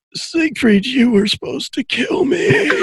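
This is a man in a put-on character voice at a moderate pace. His pitch is extremely high. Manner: dying gasp, clear words rather than mumbling.

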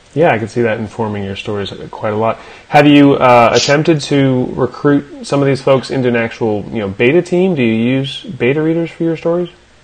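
Talking at a fairly quick pace with hardly any pauses, a man is heard over noticeable background noise. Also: medium pitch for a man, ordinary pitch variation. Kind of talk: casual interview chat.

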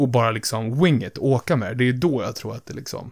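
On a very clean recording with a silent background, a medium-pitched man speaks at a fairly quick pace with lively intonation. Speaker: podcast host. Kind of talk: casual podcast chat. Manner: animated, jokes around, puts on German.

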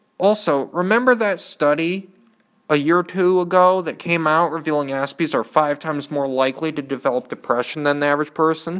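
A man with an Upper Midwest accent, fairly high in pitch and fairly quick in pace, on a very clean recording with a silent background. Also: ordinary pitch variation. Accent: Upper Midwest American. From Michigan. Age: 20s. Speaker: podcaster, community college student. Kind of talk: personal monologue.

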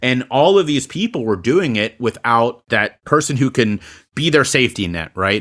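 A man's ordinary speaking voice at medium pitch, moderate pace and lively intonation, on a very clean recording with a silent background. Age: 30s. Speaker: public speaker and podcast host. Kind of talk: interview. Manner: frequent fillers and repetitions.

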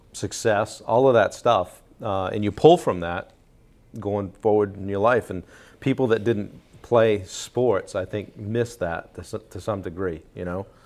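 Using an unremarkable speaking voice, a man talks at a fairly slow pace, his pitch fairly low with ordinary variation and his loudness swinging widely. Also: very clean recording, silent background. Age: 50s. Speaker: podcast host. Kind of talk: casual interview.

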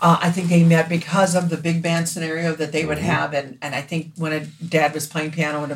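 A woman with an American accent speaks at a very deep, low pitch in a monotone, flat intonation over noticeable background noise. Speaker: singer. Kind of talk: casual chat.

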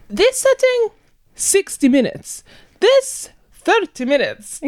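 A squeaky, put-on character voice at an extremely high pitch, with a non-native accent as part of the act, at a fairly slow pace. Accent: put-on foreign.

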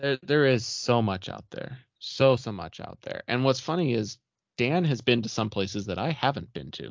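This man has a plain, everyday voice. His intonation is lively and his pace moderate. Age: 30s. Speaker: podcast host. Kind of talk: casual chat.

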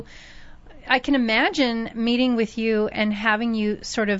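This woman has an unremarkable speaking voice, fairly high in pitch, and talks at a moderate pace. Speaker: radio host. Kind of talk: radio interview. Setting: radio studio.

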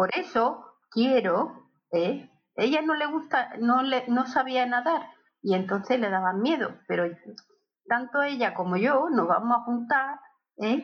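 Speaking very slowly, a woman uses lively intonation at a high pitch. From Barcelona, Catalonia (born in Seville). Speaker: host's aunt and godmother. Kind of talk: casual family interview. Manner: halting, many repetitions.

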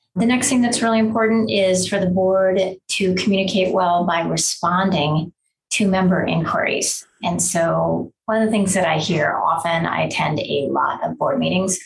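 This voice keeps a moderate pace with very even loudness. It carries an American accent. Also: woman. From Wisconsin. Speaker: attorney. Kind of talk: lecture.

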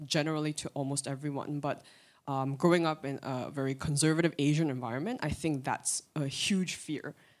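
A woman talks with a very deep, low pitch and ordinary pitch variation. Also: very clean recording, silent background. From Korea. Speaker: church member. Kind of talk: testimony. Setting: church.

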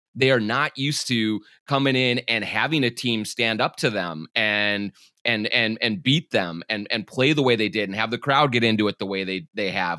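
Recorded very cleanly against a silent background, this man speaks in a Minnesotan accent at a moderate pace, his bright, sharp tone showing ordinary pitch variation in a dry, close sound with no echo. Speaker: sports journalist and podcast host. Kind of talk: casual chat. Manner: stumbles and stammers.

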